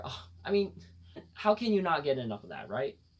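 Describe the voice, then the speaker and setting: An upbeat tone, somewhat breathy. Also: man. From United States. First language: bilingual English and Khmer. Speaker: vlogger. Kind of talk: casual talk to camera.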